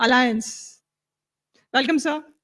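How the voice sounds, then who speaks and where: The woman's voice is captured in a very clean recording with a silent background. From Maharashtra, India. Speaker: event emcee. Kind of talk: speaker introduction. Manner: hesitant, many fillers.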